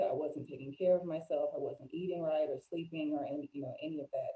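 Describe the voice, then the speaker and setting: A woman speaks with an American accent. Her tone is dark and mellow, her pitch very deep and low. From Florida, US. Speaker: life coach and mental health advocate. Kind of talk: interview conversation.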